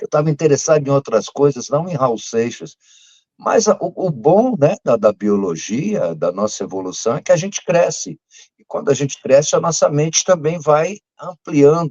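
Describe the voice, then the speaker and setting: Very wide pitch swings from a fairly high-pitched man at a moderate pace. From Brazil, São Paulo. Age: 60s. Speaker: music fan club founder and curator. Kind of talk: casual interview chat.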